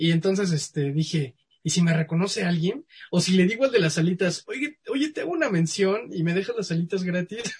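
In a Mexican accent, a man speaks in a high pitch with lively intonation. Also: fairly quick pace. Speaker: science communicator. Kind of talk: casual interview.

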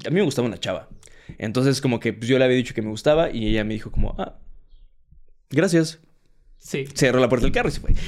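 With a Mexican accent, a man speaks at a very fast pace yet leaves long, frequent pauses, his pitch varying in an ordinary way. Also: medium pitch for a man. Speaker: stand-up comedian. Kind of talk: casual chat.

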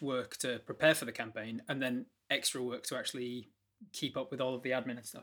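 Speaking with a British accent, a man talks at a very fast pace in monotone, flat intonation and at medium pitch. The recording is very clean with a silent background. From Britain. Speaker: game master and streamer. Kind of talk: casual interview.

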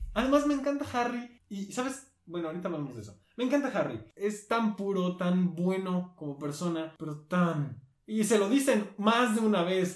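A high-pitched man at a moderate pace, hardly any pauses, lively intonation and big swings in loudness. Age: 20s. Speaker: podcast co-host. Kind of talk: casual chat.

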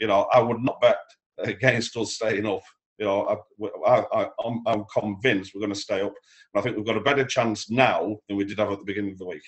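A man with a normal speaking voice, fairly low pitch, fairly even intonation and a fairly quick pace. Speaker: match day announcer. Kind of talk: casual chat.

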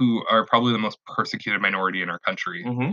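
A man is speaking. He has a Western Canadian accent. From Canada, Vancouver. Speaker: political podcast co-host. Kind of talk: casual chat.

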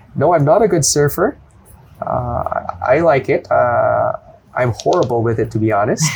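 Long, frequent pauses break up a man's speech as noticeable background noise continues. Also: moderate pace. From Philippines, Manila. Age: 30s. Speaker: Brazilian jiu-jitsu brown belt competitor. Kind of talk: casual interview.

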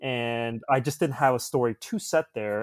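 A man talks at a moderate pace and a medium pitch. He has an ordinary speaking voice. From suburbs of Toronto, Canada. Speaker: filmmaker. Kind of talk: casual chat.

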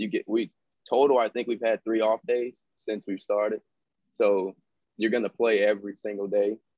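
An unremarkable speaking voice from a man, fairly low, fairly even, moderately paced, with an American accent. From Fresno, California. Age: 20s. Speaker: professional baseball player. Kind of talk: casual interview chat.

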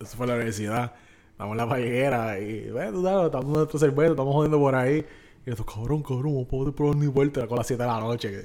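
A man of medium pitch at a very fast pace. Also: ordinary pitch variation. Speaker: podcast co-host. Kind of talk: casual chat. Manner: animated.

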